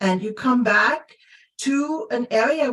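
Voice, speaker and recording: Speaking with a Luxembourgish accent, a woman uses lively intonation. She talks at a fairly slow pace. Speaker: coach. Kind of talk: casual chat. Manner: halting, many repetitions and fillers.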